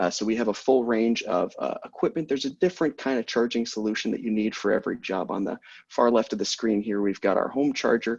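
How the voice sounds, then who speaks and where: Over a quiet background, a medium-pitched man speaks at a very fast pace with hardly any pauses and ordinary pitch variation. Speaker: policy director at EV charging company, panelist. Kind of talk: webinar presentation.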